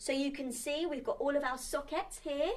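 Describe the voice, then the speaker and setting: The woman talking has a high pitch. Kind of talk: children's show presenting. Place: home room.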